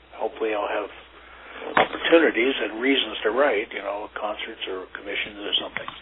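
A man speaks in an American accent at a moderate pace while noticeable background noise runs underneath. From western Pennsylvania (Oil City). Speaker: tuba player and music professor. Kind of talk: interview. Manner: halting.

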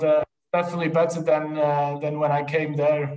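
A man's slightly mellow, fairly high voice at a fairly quick pace, with little pitch movement and strong room echo

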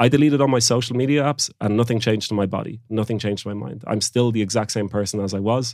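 Speaking very fast, a man with an Irish accent uses a fairly low voice. The recording is very clean, with a silent background. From Ireland (Galway, Oranmore). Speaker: founder of a focus coaching company. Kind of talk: interview.

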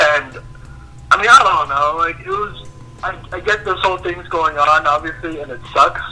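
With an American accent and a high pitch, a man speaks over background music, his loudness swinging widely. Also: ordinary pitch variation, moderate pace. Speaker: college student. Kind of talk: casual chat.

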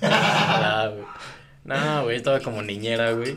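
Audible room echo and noticeable background noise accompany this speech. The pace is very slow, with fairly even intonation. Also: man. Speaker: university student or recent graduate. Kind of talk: casual chat.

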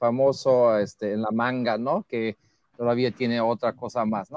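A man with a German accent talks at a fairly slow pace. The recording is very clean and dry, with a close sound, no echo and a silent background. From Germany. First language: German (speaking Spanish). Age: 50s. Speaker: guest commentator. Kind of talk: casual debate.

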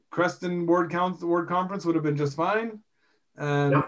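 A man speaks in a western Canadian accent. His pace is moderate and his intonation fairly even. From British Columbia, Canada (Rocky Mountains). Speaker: podcast host, industrial electrician and bishop. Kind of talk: casual religious discussion.

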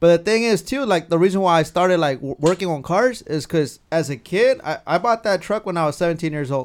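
In a very clean recording with a silent background, a man with an American accent speaks at a high pitch and a fairly quick pace. His intonation is lively, and he hardly pauses at all. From California (Carpinteria). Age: 30s. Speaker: truck club member and car enthusiast. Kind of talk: casual chat.

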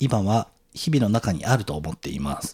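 In a very clean recording with a silent background, a man talks at a moderate pace in a plain, everyday voice of medium pitch. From Tokyo. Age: 40s. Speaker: podcast host appearing as guest. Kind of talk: casual conversation. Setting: recording with guest's own equipment.

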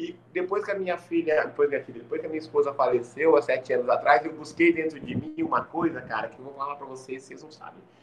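Over noticeable background noise, a man talks at a very fast pace with a fairly high pitch, ordinary pitch variation and big swings in loudness. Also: hardly any pauses. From Maringá, Paraná, Brazil (from age four). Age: 40s. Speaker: podcast guest. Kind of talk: casual chat. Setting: at home, in the kitchen.

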